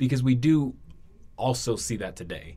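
A man's very deep, low voice with an American accent. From US, Washington DC. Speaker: student, podcast guest. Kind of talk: casual chat.

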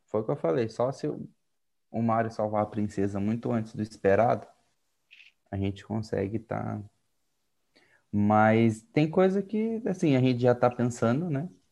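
A man talks at a fairly slow pace with long, frequent pauses. His tone is dark and mellow, and his intonation is lively. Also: medium pitch for a man. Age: 20s. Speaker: dental student, youth service club president. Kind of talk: casual chat.

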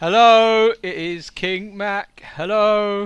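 A booming, put-on character voice shouts at a fairly high pitch and a very slow pace. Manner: booming, shouting.

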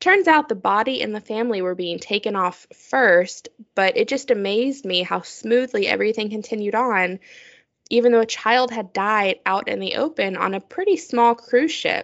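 A woman's fairly high pitch, an ordinary speaking voice, moderate pace. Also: lively intonation. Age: 30s. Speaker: podcast co-host. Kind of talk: casual chat.

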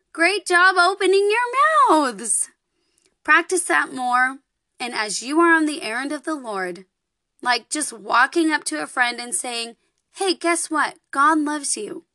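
Raised and projected, a woman's high, bright, sharp voice carries an animated tone with very wide pitch swings and big swings in loudness, in a dry, close recording with no echo. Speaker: children's podcast host. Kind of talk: children's lesson.

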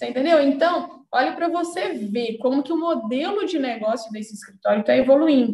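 With hardly any pauses, a woman talks in a high, dark, mellow voice with lively intonation. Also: fairly quick pace. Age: 20s. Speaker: legal management consultant. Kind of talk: casual live-stream chat.

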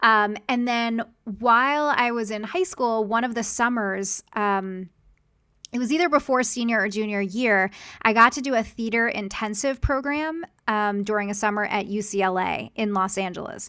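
On a very clean recording with a silent background, a woman speaks with an American accent at a moderate pace. Her tone is bright and sharp, her pitch fairly high with ordinary variation. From Philadelphia, US. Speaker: success coach and graphic designer. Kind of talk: interview.

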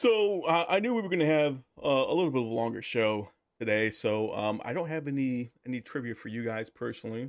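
A man with a plain, everyday voice talks at a fairly quick pace in a medium pitch with lively intonation, on a very clean recording with a silent background. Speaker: sports podcast co-host. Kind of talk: casual chat.

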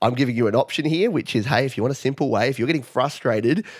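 On a very clean recording against a silent background, a man talks in an Australian accent. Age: 40s. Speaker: music producer and YouTuber. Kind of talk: interview.

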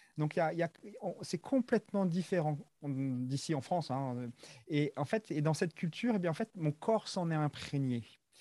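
A man speaks at a fairly slow pace in a very clean recording with a silent background. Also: dry, close sound with no echo. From Madagascar. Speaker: athlete and coach. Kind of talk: interview. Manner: halting.

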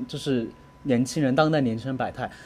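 Man talking at a very fast pace. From Guizhou, Guiyang. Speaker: podcast co-host. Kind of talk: casual chat. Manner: animated, laughing often.

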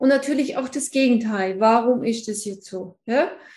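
Somewhat breathy and dark, mellow in tone, a woman speaks at a fairly slow pace with a fairly high pitch. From Allgäu, Bavaria, southern Germany. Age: 50s. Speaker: feng shui consultant. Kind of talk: casual interview chat.

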